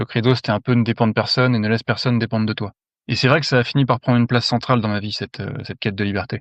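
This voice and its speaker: A man at a very fast pace with fairly even intonation, in a dry, close sound with no echo over a quiet background. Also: medium pitch for a man. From France. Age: 30s. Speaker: mine worker giving testimony. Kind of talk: testimony.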